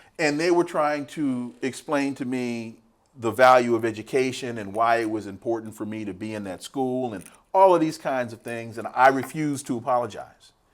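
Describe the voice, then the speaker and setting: A man talks in an ordinary speaking voice with an American accent and ordinary pitch variation. The recording is very clean, with a silent background. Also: medium pitch for a man, moderate pace. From California, Sacramento. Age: 60s. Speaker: political scientist. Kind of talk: interview.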